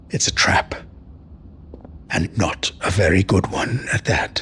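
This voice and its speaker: Using a raspy put-on character voice, a man speaks at a fairly low pitch. The delivery is fairly slow, with light background noise. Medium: video game. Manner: dry, sardonic.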